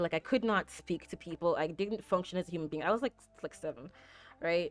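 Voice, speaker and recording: Here a woman with an American accent talks at a fairly quick pace, her pitch fairly low with ordinary variation. The sound is dry and close with no echo, over a quiet background. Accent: sounds American to others. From Jamaica. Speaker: video game streamer. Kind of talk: casual chat. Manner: frequent filler words.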